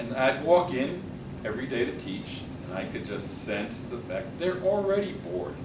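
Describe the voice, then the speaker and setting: Speaking at a fairly slow pace with an American accent, a man is heard with audible room echo and noticeable background noise. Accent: New York accent, less heavy than before. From New York. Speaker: public speaking club member. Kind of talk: speech.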